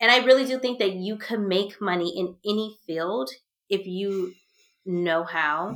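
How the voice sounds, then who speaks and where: A woman's plain, everyday voice, medium in pitch, fairly slow, with ordinary pitch variation. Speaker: podcast host. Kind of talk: casual chat.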